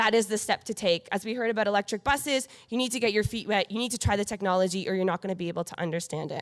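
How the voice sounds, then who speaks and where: Barely pausing at all, a woman rushes through her words at a very fast pace. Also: medium pitch for a woman, ordinary pitch variation, dry, close sound with no echo. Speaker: conference presenter. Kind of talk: conference presentation. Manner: fast, rushing.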